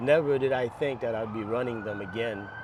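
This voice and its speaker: With an American accent, a man talks at a moderate pace and medium pitch, with ordinary pitch variation. Background noise is noticeable. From New York City. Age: 60s. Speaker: masters marathon runner. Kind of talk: interview answer.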